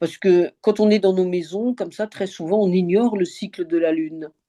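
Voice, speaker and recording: In a quiet background, a woman talks with a dark, mellow tone and ordinary pitch variation. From France, Alsace. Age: 70s. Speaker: open-water swimmer. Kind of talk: interview. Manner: halting, many fillers.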